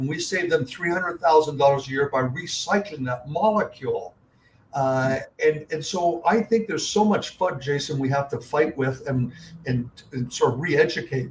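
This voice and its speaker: A man talks in a fairly high, somewhat breathy voice. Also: ordinary pitch variation, moderate pace. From Canada (Toronto). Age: 70s. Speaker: investor and company CEO. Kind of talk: podcast interview. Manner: frequent filler words and repetitions.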